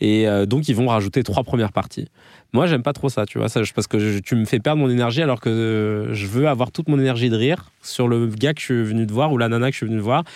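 On a very clean recording with a silent background, a man talks at a very fast pace. He has a medium pitch with ordinary variation. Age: 30s. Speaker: comedian and podcast host. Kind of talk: interview. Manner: casual.

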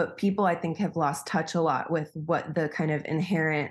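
A woman with an American accent speaks at a moderate pace in an ordinary speaking voice, her pitch fairly low and her pitch variation ordinary, against a quiet background. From US Midwest (Wisconsin). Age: 30s. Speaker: coach and sex worker, former doula. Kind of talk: casual interview chat.

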